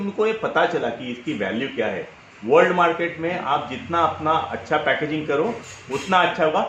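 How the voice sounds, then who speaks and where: There is audible room echo and noticeable background noise as a man speaks in a high voice. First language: Marathi (speaking Hindi). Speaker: personal branding coach. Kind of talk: interview.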